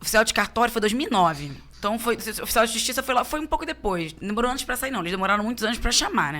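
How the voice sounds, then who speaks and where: With a strong carioca accent, a woman talks at a very fast pace, her intonation lively. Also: fairly high pitch for a woman. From Rio de Janeiro, Tijuca (North Zone). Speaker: police chief. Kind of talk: casual interview chat. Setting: studio.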